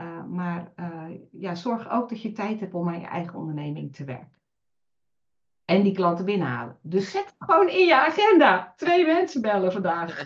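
Speaking at a moderate pace, a woman shows big swings in loudness. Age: 50s. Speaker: virtual assistant. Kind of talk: interview.

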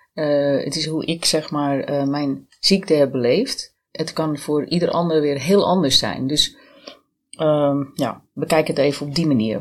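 At a fairly slow pace, this woman speaks with a very deep, low pitch. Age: 50s. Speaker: cancer survivor, identity and branding consultant. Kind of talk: podcast interview.

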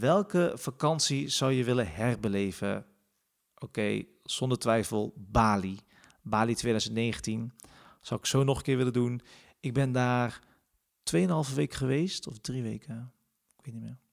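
At a fairly slow pace with long, frequent pauses, a man of medium pitch speaks with big swings in loudness. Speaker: podcast host. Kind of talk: casual personal monologue. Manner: hesitant, many filler sounds.

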